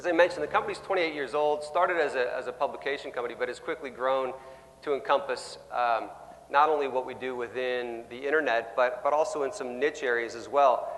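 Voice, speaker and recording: Over noticeable background noise and audible room echo, a man with a fairly high voice talks at a very fast pace with ordinary pitch variation. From Canada. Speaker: sales executive. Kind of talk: conference keynote talk. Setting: stage with audience. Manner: loud.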